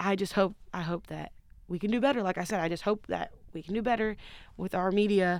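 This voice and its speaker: A medium-pitched female voice, recorded very cleanly against total silence. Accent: American. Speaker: college basketball player. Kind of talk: casual interview chat.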